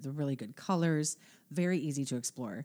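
On a very clean recording with a silent background, a woman with a very deep, low pitch and a dark, mellow tone speaks at a moderate pace with ordinary pitch variation. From United States, Italian-American family. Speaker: podcast co-host. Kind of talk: casual chat.

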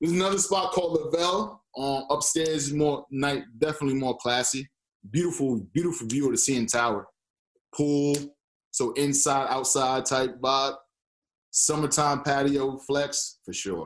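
A man's ordinary speaking voice, fairly high in pitch, with an American accent and a moderate pace. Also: ordinary pitch variation. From New York (born Boston). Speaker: former athlete, Toronto resident. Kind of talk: casual interview.

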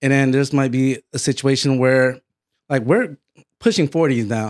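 With an American accent, a man speaks at a moderate pace with ordinary pitch variation in an ordinary speaking voice. The recording is very clean, with a silent background and a dry, close sound with no echo. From Connecticut, US East Coast. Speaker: podcast host. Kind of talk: casual chat.

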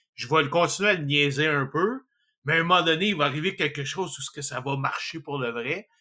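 In a Quebec accent, a man speaks at a fairly quick pace and a fairly high pitch. His tone is bright and sharp, with ordinary pitch variation. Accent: Québécois French. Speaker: podcast host. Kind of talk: casual chat.

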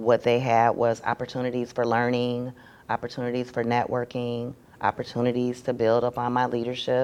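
The speaker has an American accent and keeps a moderate pace. The intonation is monotone and flat. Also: woman, very deep, low pitch for a woman. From Michigan. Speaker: nurse practitioner. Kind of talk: interview. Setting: at a conference.

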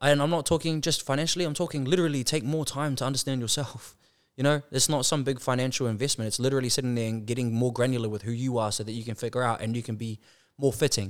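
A man speaks very fast with a New Zealand accent, his pitch medium and its variation ordinary. The recording is very clean, with a silent background. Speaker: business consultant. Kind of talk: casual chat.

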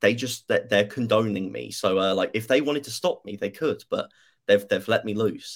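A man with a British accent at a moderate pace. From Britain. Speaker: youtuber. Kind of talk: casual chat.

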